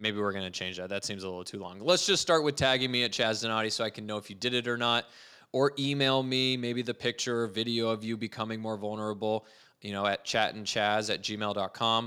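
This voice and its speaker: A man's bright, sharp voice at a very fast pace, with fairly even intonation. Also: medium pitch for a man, very clean recording, silent background. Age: 30s. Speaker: podcast host. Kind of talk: solo podcast monologue. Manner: casual, conversational.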